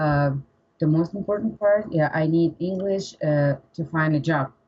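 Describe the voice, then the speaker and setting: Her loudness very even, a woman with a Russian accent speaks at a moderate pace in a very deep, low pitch that is somewhat breathy, with ordinary pitch variation. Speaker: English learner, pharmacist. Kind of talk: interview. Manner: halting.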